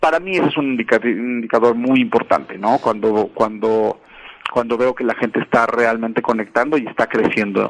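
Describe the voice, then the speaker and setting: With noticeable background noise behind him, a man talks at a medium pitch with ordinary pitch variation. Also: moderate pace. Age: 40s. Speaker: music artist manager. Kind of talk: interview.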